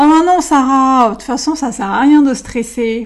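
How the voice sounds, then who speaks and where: A woman puts on a character voice, pitched high. She keeps a moderate pace with ordinary pitch variation. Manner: dismissive, reassuring.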